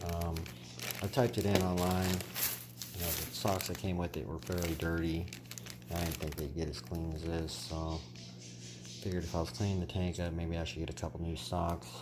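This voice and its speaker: Music plays in the background while a man with a very deep, low pitch speaks at a moderate pace with ordinary pitch variation. Audible room echo surrounds his voice. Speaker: aquarium hobbyist vlogger. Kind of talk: casual vlog ramble. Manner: soft-spoken.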